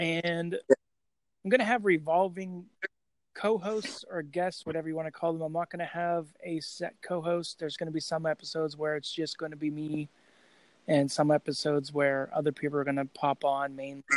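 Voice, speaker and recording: A man's fairly high voice at a fairly quick pace, with fairly even intonation and a dry, close sound with no echo. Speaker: horror podcaster. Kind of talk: casual chat.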